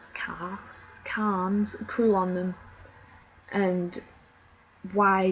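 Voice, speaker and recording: Quiet and in an English accent, a woman speaks at a medium pitch. Her intonation is monotone and flat. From England. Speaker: film reviewer. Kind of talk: casual review monologue. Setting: at home, others downstairs. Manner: rambling, hesitant. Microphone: very quiet recording.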